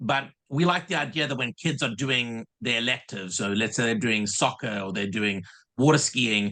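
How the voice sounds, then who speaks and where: A man's bright, sharp voice with a South African accent, lively intonation and a moderate pace, against a quiet background. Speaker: summer camp director. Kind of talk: casual interview. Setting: video call.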